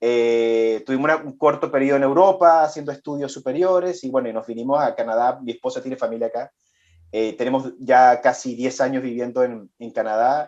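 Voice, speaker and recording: The speaker talks at a fairly quick pace. The accent is Venezuelan. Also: man, medium pitch for a man, ordinary pitch variation. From Venezuela, Chilean immigrant family. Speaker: business executive. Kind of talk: interview. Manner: halting, many repetitions.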